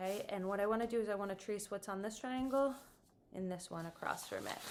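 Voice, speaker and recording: Her pitch shows ordinary variation. The woman's delivery is very fast. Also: medium pitch for a woman. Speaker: art teacher. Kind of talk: tutorial. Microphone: camera far away.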